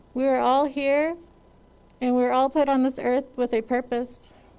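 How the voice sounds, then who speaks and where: A woman with an American accent speaks in a high voice. Her intonation is monotone and flat, at a moderate pace. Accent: Navajo English. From Navajo Nation, Arizona. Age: 20s. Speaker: police officer graduate. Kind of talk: graduation speech.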